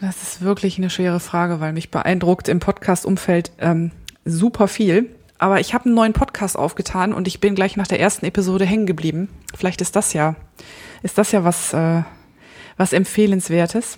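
At a moderate pace, a woman talks in a calm tone with medium pitch and fairly even intonation. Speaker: photographer and podcaster. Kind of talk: casual chat.

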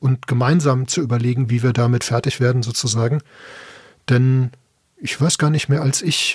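Using a somewhat breathy, medium-pitched voice, a man talks at a moderate pace with fairly even intonation and long, frequent pauses. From Ruhr area, Bochum. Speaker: podcaster. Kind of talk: casual chat.

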